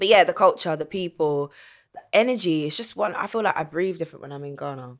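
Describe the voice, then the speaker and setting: A woman with a South London accent talks very fast in a fairly low voice, her loudness swinging widely and her intonation lively. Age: 30s. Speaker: singer. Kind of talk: casual chat.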